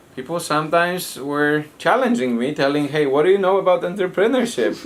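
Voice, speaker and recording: A man speaks fairly quickly with lively intonation and a fairly high pitch, over noticeable background noise. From Poland. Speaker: foundation president. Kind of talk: interview. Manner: halting.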